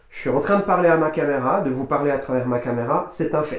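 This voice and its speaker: A man's voice shows ordinary pitch variation, with audible room echo. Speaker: personal development coach. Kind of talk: motivational talk to camera. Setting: speaking to camera. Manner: hesitant, many fillers and repetitions.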